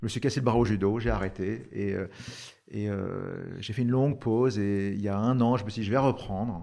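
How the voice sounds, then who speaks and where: Speaking at a moderate pace, a man with a fairly low pitch and dark, mellow tone keeps his intonation fairly even. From France. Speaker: startup founder. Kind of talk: podcast interview. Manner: hesitant, many fillers.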